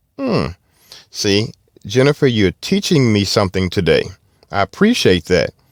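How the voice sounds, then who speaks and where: Over a very clean recording with a silent background, a man with a Southern US accent speaks with long, frequent pauses in a dry, close sound with no echo. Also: moderate pace. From US South. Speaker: car podcast host. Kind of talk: casual chat. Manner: halting.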